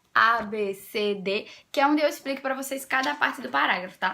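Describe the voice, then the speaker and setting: A woman's raised, projected voice, bright and sharp in tone, with ordinary pitch variation and a fairly quick pace in a very clean recording with a silent background. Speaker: essay-writing tutor, educational youtuber. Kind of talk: tutorial. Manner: fast; animated.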